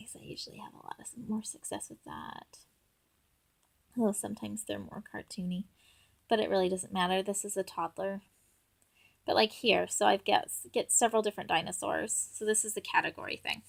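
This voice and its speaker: Soft-spoken yet swinging widely in loudness, a woman talks at a fairly quick pace with long, frequent pauses on a very clean recording with a silent background. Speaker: parent making app tutorial. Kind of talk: tutorial. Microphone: audio issues.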